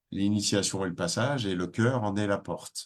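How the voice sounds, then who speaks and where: The man's pitch sits fairly low, with ordinary variation. He speaks at a fairly slow pace. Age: 60s. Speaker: spiritual teacher. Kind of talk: webinar talk. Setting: online webinar.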